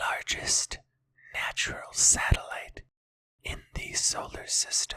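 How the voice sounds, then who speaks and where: Everything is whispered. It moves at a very slow pace. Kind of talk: ASMR whisper educational narration.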